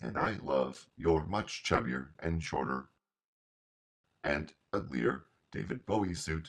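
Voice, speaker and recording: A man's put-on character voice, raspy and very deep in pitch, at a fairly slow pace with long, frequent pauses. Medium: audio drama. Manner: playful.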